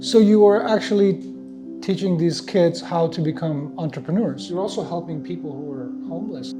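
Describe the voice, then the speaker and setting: Music plays in the background. A man talks at a moderate pace with big swings in loudness. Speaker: interviewer. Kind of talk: interview questions.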